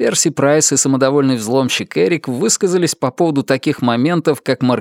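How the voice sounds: In a natural reading voice, the pitch varies in an ordinary way.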